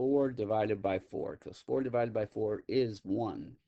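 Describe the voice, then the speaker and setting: Speaking at a moderate pace, a man with a fairly low pitch uses an ordinary speaking voice with ordinary pitch variation. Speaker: math teacher. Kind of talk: lecture.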